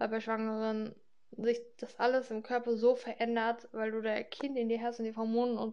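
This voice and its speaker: The voice is a woman's, fairly high in pitch. Her intonation stays monotone and flat. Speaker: podcaster talking about her health. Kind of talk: casual personal monologue. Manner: hesitant, many fillers.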